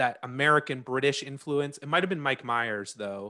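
With a Canadian accent, a man speaks at a medium pitch in a bright, sharp tone. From Canada. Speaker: podcast host. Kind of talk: casual interview.

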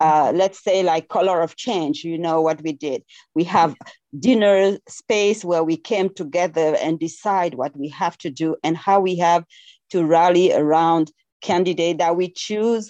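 A woman with a French accent, fairly low in pitch, with a dark, mellow tone, ordinary pitch variation and a fairly slow pace, in a dry, close sound with no echo over a quiet background. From Senegal. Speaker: community organizer. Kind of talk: call-in discussion. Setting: video call. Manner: animated.

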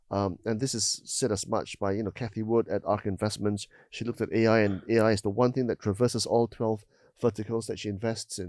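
In a very clean recording with a silent background and a dry, close sound free of echo, a man with a dark, mellow tone talks at a fairly quick pace and medium pitch. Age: 50s. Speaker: podcast host. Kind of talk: interview. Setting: studio.

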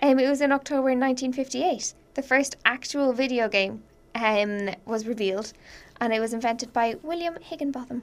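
Speaking with an Irish accent, a woman talks fairly quickly at a high pitch with ordinary pitch variation. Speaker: podcast co-host. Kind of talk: casual chat. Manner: joking, laughs often.

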